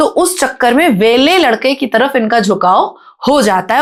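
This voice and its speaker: The delivery is animated in tone, with lively intonation. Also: woman. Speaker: podcast guest, activist. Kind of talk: podcast interview. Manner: fluent, flowing.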